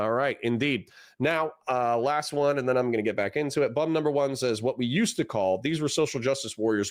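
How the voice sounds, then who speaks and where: In a very clean recording with a silent background, a man speaks at a medium pitch with ordinary pitch variation and very even loudness. He has an ordinary speaking voice, going at a fairly quick pace with hardly any pauses. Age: 30s. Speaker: political streamer. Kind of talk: live stream reaction commentary. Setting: live stream with chat. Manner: casual, conversational.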